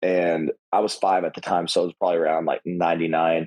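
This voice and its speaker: A man with an American accent talks at a fairly quick pace. His very deep, low voice stays flat and monotone. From Kentucky, rural. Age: 20s. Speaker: professional wrestler. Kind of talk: podcast interview. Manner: halting, many fillers and restarts.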